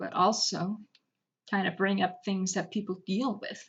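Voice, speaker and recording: A woman mumbling. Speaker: digital artist. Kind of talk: speedpaint art commentary voice-over.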